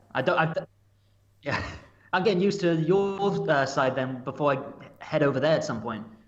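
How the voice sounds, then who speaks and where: With a fairly high pitch and ordinary pitch variation, a man talks at a fairly quick pace. Long, frequent pauses break his speech, and room echo is audible. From England. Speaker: podcast guest. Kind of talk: casual chat.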